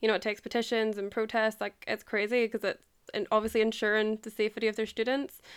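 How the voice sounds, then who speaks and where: A woman speaks very fast with an Irish accent in a flat monotone. The recording is very clean, with a silent background. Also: fairly high pitch for a woman. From Ireland. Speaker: podcast host. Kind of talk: casual interview chat.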